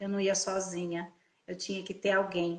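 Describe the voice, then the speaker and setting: At a moderate pace, a woman talks in an ordinary speaking voice at medium pitch. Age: 60s. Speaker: integrative therapist. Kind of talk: testimony. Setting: Instagram live video call.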